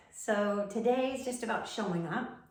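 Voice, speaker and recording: A woman with ordinary pitch variation, amid audible room echo and noticeable background noise. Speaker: tai chi practitioner teaching movements. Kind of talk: tutorial. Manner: halting.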